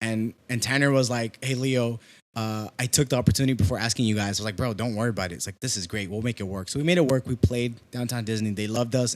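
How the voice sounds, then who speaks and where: The speech races at a very fast pace with hardly any pauses. The recording is very clean, with a silent background. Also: man. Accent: Mexican. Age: 20s. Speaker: musician and musical director. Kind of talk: casual chat. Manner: animated.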